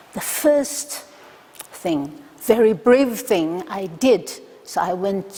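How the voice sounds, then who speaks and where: A woman talks at a very slow pace with lively intonation. Noticeable background noise can be heard. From China. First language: Chinese. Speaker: academic researcher. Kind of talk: conference talk. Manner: halting, many fillers.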